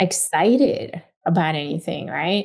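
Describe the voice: A woman speaks slowly in a fairly low pitch with a slightly mellow tone.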